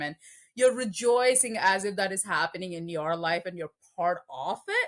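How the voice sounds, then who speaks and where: A woman with a Telugu accent speaks at a moderate pace with lively intonation. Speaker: film podcast guest. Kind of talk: casual chat.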